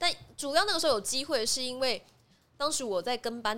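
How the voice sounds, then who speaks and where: Noticeable background noise sits behind a woman's voice. She speaks at a fairly quick pace with lively intonation. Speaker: voice actress. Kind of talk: interview.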